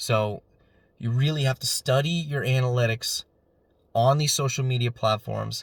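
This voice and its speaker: Long, frequent pauses in a somewhat breathy voice. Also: man, medium pitch for a man, fairly even intonation, moderate pace. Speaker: YouTuber on digital marketing. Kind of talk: casual solo talk to camera. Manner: monotone; hesitant, many fillers.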